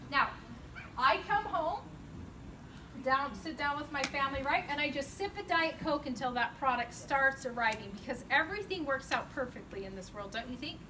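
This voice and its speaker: Her voice raised and projected, a woman speaks at a high pitch with lively intonation and big swings in loudness. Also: moderate pace. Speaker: company designer giving a facility tour. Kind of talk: guided tour talk to a group. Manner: animated.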